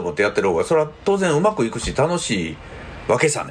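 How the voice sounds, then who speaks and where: Noticeable background noise accompanies this speaker. He is a man with a Kansai accent, talking at a very fast pace. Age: 50s. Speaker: counselor and podcast host. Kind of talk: solo podcast monologue. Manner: casual, chatty.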